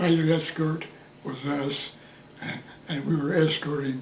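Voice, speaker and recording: A man with an American accent, fairly high in pitch and fairly slow in pace, with noticeable background noise. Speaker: war veteran. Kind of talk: interview answer.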